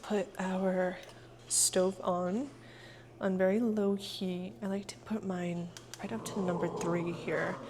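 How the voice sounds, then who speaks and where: Background noise is noticeable. A woman talks at a medium pitch with ordinary pitch variation. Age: 30s. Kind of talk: casual cooking vlog talk to camera.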